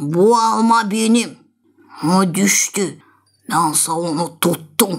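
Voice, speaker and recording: A raspy, middle-pitched put-on character voice at a very slow pace. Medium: fan dub.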